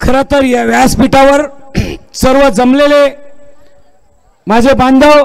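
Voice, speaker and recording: With monotone, flat intonation, a man speaks at an extremely high pitch. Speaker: politician. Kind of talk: political rally speech. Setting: stage with audience. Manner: loud.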